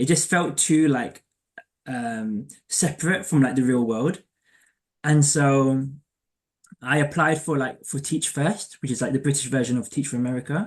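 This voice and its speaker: The background is quiet. A man's fairly high voice moves at a moderate pace. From England, East London. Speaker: career coach. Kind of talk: casual interview chat. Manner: halting, many fillers.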